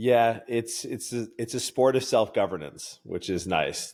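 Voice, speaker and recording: On a very clean recording with a silent background, a man with a Canadian accent and a plain, everyday voice talks at a moderate pace with ordinary pitch variation. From Canada. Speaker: strength coach and podcaster. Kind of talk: casual chat.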